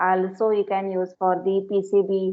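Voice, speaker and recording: A woman's medium-pitched, monotone, flat voice at a fairly slow pace. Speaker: electronics lecturer. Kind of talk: lecture. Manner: loud.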